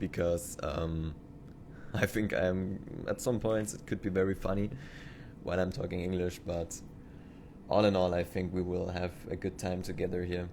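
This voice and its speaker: A man's very deep, low voice with a German accent, moderate pace, monotone, flat intonation and long, frequent pauses. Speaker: train simulator YouTuber. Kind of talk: gameplay commentary. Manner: halting.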